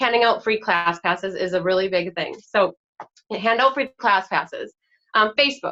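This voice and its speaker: Her tone bright and sharp, a woman speaks with lively intonation. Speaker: direct sales team leader. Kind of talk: presentation. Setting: video recording at home. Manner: fast; enthusiastic.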